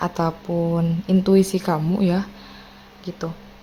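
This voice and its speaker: Noticeable background noise behind a woman's fairly low-pitched voice. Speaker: tarot reader. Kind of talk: tarot reading to viewers. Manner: casual, chatty.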